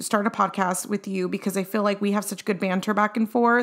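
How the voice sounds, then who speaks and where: Here is a woman with an ordinary speaking voice at a medium pitch. Her intonation stays fairly even. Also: very clean recording, silent background. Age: 20s. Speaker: podcast co-host, military wife and mom. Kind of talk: casual chat.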